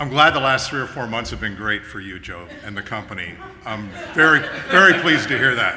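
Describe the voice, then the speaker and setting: Amid noticeable background noise and audible room echo, a man speaks at a fairly quick pace and medium pitch, with very wide pitch swings and big swings in loudness. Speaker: property manager. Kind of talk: company meeting speech.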